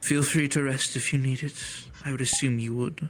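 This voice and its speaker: A man performs a put-on character voice at medium pitch. The pace is fairly quick. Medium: actual play. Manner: calm, measured, cryptic.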